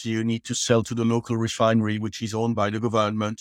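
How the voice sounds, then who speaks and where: With a French accent, a man speaks at a medium pitch and a fairly quick pace. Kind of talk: interview.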